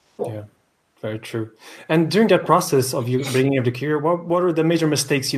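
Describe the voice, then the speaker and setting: A man's very fast, somewhat breathy speech with ordinary pitch variation. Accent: Portuguese. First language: Portuguese. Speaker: podcast host. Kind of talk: interview. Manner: halting.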